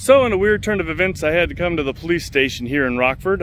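A man's high-pitched voice at a very fast pace, dry with no echo, over light background noise. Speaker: motorcycle vlogger. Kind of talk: casual vlog chat. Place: street. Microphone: phone near.

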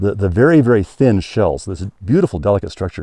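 With lively intonation and a dark, mellow tone, a man speaks at a moderate pace in a dry sound with no echo. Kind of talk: interview answer. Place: open country. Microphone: lapel.

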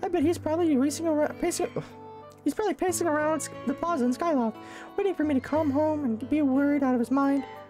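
A man races along at a very fast pace in an extremely high, put-on character voice while clear music plays in the background. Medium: game stream. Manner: eager, breathless.

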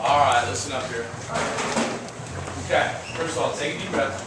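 The recording has audible room echo and loud background noise. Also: man. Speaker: college football head coach. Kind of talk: locker room pep talk to team.

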